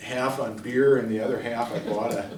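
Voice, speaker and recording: A man with a Wisconsin accent talks at a moderate pace with fairly even intonation. Noticeable background noise and audible room echo are present. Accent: Upper Midwest (Wisconsin). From northwestern Wisconsin, Rice Lake. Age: 70s. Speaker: retired folklore professor. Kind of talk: lecture. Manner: halting, many fillers.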